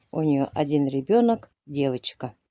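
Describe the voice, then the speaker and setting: Speaking very slowly with lively intonation, a woman is heard on a very clean recording with a silent background and a dry, close sound with no echo. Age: 60s. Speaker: village smallholder, goat keeper. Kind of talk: casual vlog talk to camera.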